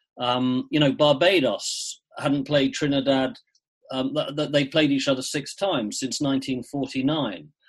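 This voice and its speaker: At a moderate pace, a man with an English accent speaks at a fairly high pitch. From England, Shropshire. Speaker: cricket writer. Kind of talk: interview.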